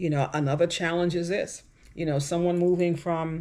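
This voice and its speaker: With ordinary pitch variation, a woman's speech moves along at a moderate pace. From New York, Caribbean family. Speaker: vlogger. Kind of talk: vlog monologue.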